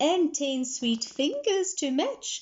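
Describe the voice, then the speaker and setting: A woman's put-on character voice, high-pitched, with lively intonation. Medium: read story.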